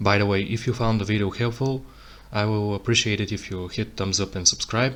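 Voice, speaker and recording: With a non-native accent, a man talks at a fairly quick pace and fairly even intonation. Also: fairly low pitch for a man. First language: not English. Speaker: tech tutorial creator. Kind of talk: tutorial. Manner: halting, self-correcting.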